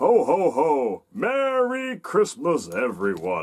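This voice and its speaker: A cartoonish character voice from a man, high in pitch and at a very slow pace. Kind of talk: children's educational tutorial. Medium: puppet.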